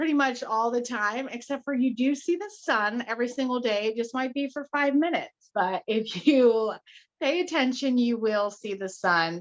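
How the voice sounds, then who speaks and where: A woman's high-pitched voice with an American accent and lively intonation. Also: moderate pace. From Utah. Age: 30s. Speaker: podcast co-host. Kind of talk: casual chat. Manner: talkative.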